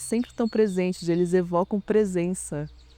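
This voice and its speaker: A man talks at a moderate pace in a high-pitched voice with a dark, mellow tone. The sound is dry and close, with no echo. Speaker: artist in residence. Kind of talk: reflective interview testimony. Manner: halting, with false starts.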